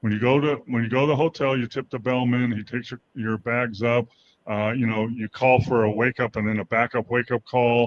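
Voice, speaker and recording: The man speaks at a moderate pace and a medium pitch. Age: 60s. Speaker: former NBA player and sports show co-host. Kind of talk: casual sports chat. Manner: halting, many fillers.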